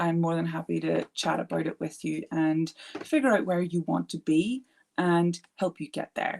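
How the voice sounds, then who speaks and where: Ordinary pitch variation in a British accent, with a dry, close sound and no echo. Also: woman, fairly low pitch for a woman. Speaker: art therapist. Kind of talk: live stream chat. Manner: fast.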